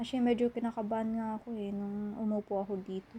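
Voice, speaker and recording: Soft-spoken and somewhat breathy, a woman with a fairly high pitch and a dark, mellow tone talks in a monotone, flat intonation. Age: 20s. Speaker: college student character. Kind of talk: ASMR roleplay. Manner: soft-spoken, casual.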